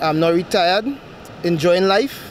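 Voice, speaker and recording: At a moderate pace, a man speaks with ordinary pitch variation amid noticeable background noise. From Trinidad, Toco. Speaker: retired soldier and local guide. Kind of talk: interview.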